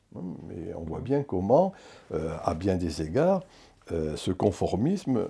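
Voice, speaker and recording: With a very deep, low pitch and a dark, mellow tone, a man sounds somewhat breathy and uses lively intonation. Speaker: sociologist, professor emeritus. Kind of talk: interview. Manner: halting.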